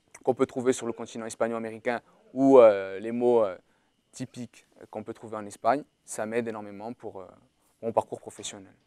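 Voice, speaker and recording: With a dark, mellow tone, a man speaks in a flat monotone, taking long, frequent pauses in a dry, close sound with no echo. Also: medium pitch for a man, big swings in loudness. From Corsica. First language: Portuguese (speaking French). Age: 20s. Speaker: university student. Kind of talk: testimony. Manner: halting.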